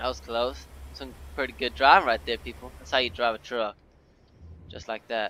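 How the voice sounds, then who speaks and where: In an American accent, a man speaks at medium pitch and a moderate pace, his tone bright and sharp with vocal fry. His pitch swings very widely, his loudness shifts a lot, and he leaves long, frequent pauses. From Texas. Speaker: gaming YouTuber. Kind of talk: gameplay commentary. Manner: casual, hesitant with many fillers.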